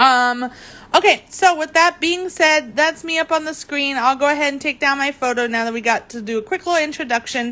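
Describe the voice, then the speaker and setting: Raising and projecting her voice, a woman speaks at a high pitch and a fairly quick pace with a bright, sharp tone and ordinary pitch variation. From Germany. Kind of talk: live craft demo. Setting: livestream. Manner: hesitant, many fillers; cheerful, animated.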